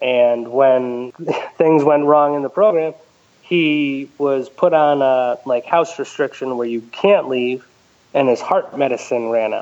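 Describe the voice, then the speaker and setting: Speaking with an American accent and an ordinary speaking voice, a man moves at a fairly slow pace, his fairly high pitch showing ordinary pitch variation. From Connecticut, US. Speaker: listener sharing personal story. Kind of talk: interview testimony.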